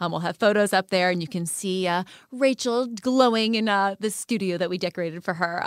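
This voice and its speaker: An unremarkable speaking voice at a fairly quick pace with ordinary pitch variation, in a dry, close sound with no echo and a very clean recording with a silent background. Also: woman. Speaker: podcast co-host, former reality show contestant. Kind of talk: casual chat.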